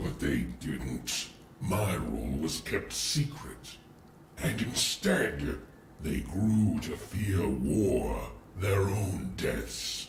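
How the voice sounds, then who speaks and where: A man puts on a character voice with a very deep, low pitch and very wide pitch swings, speaking very slowly over clear background noise with a slight echo. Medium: machinima. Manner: menacing, gloating.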